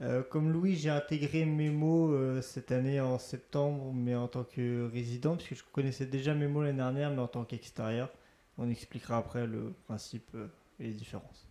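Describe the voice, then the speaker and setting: At a moderate pace, a man speaks in a dark, mellow tone at a medium pitch. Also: fairly even intonation. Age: 20s. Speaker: student resident. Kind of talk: interview.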